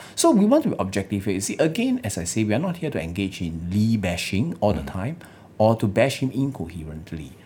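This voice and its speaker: A man with a fairly low, somewhat breathy voice and a dark, mellow tone speaks fairly quickly with very wide pitch swings. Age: 30s. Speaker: lawyer and political party leader. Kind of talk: political interview. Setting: studio.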